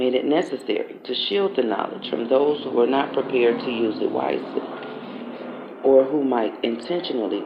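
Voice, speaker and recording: A soft-spoken man talks at a moderate pace amid noticeable background noise. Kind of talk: ASMR book reading, read aloud.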